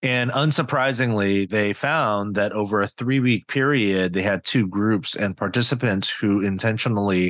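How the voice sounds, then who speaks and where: A man with a plain, everyday voice talks fairly slowly in an American accent, his pitch fairly low with ordinary variation. The sound is dry and close with no echo, against a quiet background. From US West Coast, Silicon Valley. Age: 40s. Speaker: pastor and author. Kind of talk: interview conversation.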